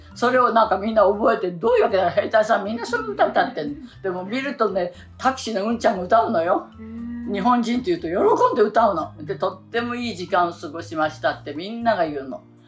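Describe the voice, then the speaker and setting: Over music in the background, a woman with a fairly high pitch talks at a very fast pace with lively intonation. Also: big swings in loudness. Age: 80s+. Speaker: actress and singer. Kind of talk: interview answer. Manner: cheerful, chatty.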